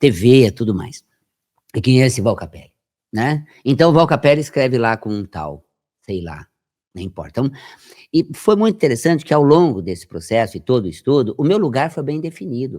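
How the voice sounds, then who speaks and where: A man's dark, mellow voice with vocal fry, very wide pitch swings, big swings in loudness and a fairly quick pace broken by long, frequent pauses, on a very clean recording with a silent background. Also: medium pitch for a man. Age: 60s. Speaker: health metaphysics researcher and radio presenter. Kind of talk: podcast interview. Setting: podcast studio. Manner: animated.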